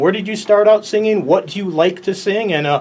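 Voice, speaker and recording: Against noticeable background noise, a man with an American accent talks very fast in a high pitch with lively intonation. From Chicago, US. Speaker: sports show host. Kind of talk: interview.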